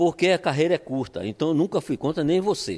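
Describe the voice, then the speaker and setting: A man speaks at a fairly quick pace with vocal fry. The recording is very clean, with a silent background. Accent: Pernambuco. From Brazil, Pernambuco (Olinda). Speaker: football coach. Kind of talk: interview. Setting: at home.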